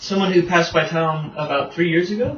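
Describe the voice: A man speaks at a moderate pace with a fairly high pitch and ordinary pitch variation. Strong room echo surrounds his voice.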